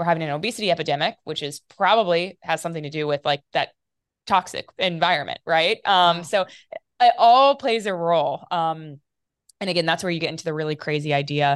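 Using a plain, everyday voice, a woman with an American accent speaks at a fairly quick pace and fairly low pitch, with lively intonation. The sound is dry and close with no echo, over a quiet background. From US Midwest, small-town Ohio north of Dayton. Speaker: epigenetics researcher and company founder. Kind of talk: interview.

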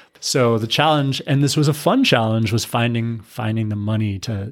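A man speaks in a normal speaking voice at a moderate pace, his medium pitch showing ordinary variation. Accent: American. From US, military family moving around. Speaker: nonprofit executive director. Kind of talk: interview.

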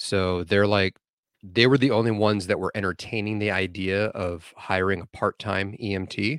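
A man with an ordinary speaking voice talks at a moderate pace, his fairly low pitch held in fairly even intonation, on a very clean recording with a silent background and a dry, close sound with no echo. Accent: American. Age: 40s. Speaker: medic. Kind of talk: casual chat.

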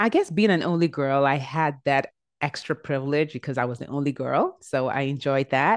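An energetic tone comes through against a quiet background. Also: woman, very deep, low pitch for a woman, ordinary pitch variation, moderate pace. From Nigeria. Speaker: life coach and TV host. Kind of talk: interview. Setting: video call.

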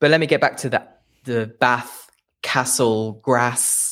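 In a very clean recording with a silent background, a man with a slight Leicester accent speaks at a very slow pace. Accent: English, little Leicester. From England, Leicester. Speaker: English teacher. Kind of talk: interview. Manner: hesitant, repeats words.

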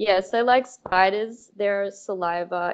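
A very slow pace with an Australian accent. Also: woman. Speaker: velvet worm researcher. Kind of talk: interview.

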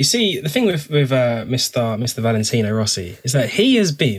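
The voice is animated and somewhat breathy, at a moderate pace. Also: man. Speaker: motorsport podcast co-host. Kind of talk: casual banter.

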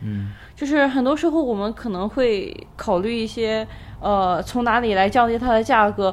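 A woman with a fairly high pitch speaks at a moderate pace, showing ordinary pitch variation. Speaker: podcast co-host. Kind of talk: casual chat. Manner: soft-spoken.

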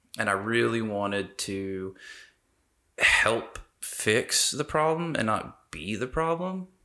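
This man has an ordinary speaking voice at medium pitch. His pitch varies in an ordinary way. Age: 30s. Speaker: city council candidate, veteran. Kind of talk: casual interview.

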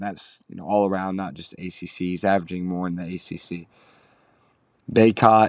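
A man's very deep, low voice in an American accent, fairly quick and monotone, flat in intonation, with a quiet background. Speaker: sports podcast host. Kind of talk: casual sports commentary. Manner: casual, filler-heavy.

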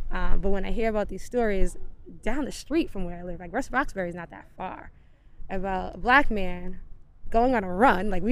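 With an American accent and vocal fry, a woman speaks at a medium pitch and a fairly quick pace with lively intonation. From Dorchester, Boston. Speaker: runner in running group. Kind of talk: interview. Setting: outdoors.

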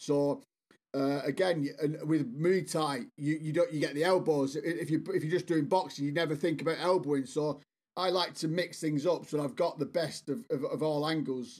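In an English accent, a man speaks at a fairly high pitch with ordinary pitch variation and a moderate pace. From northwest England, Bolton. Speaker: sales strategist and author. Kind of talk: interview.

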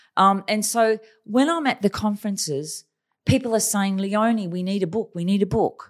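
A woman with an Australian accent speaks in a fairly high pitch. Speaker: China strategy consultant and author. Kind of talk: casual interview, storytelling.

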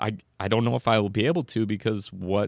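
In a dry, close sound with no echo and a quiet background, a man with an unremarkable speaking voice talks fairly quickly at a fairly low pitch. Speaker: podcast co-host. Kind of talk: casual chat.

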